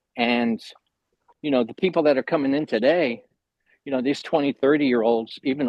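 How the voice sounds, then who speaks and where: At a fairly quick pace, a man speaks in an unremarkable speaking voice at medium pitch with ordinary pitch variation. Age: 60s. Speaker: postal worker and artist. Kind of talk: casual chat. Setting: video call.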